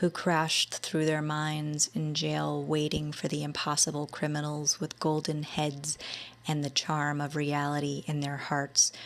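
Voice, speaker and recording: Soft-spoken and monotone, a woman talks at a fairly slow pace in a very deep, low register with flat intonation. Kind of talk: ASMR poetry reading. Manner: soothing, soft-spoken.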